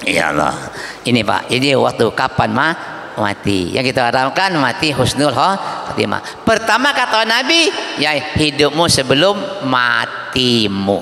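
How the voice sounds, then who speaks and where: A man talks at a fairly slow pace and medium pitch in an animated tone, with very wide pitch swings but very even loudness. Audible room echo and noticeable background noise fill the recording. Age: 60s. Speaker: Islamic preacher. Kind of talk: sermon. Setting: mosque event with audience. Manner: animated, interactive with audience.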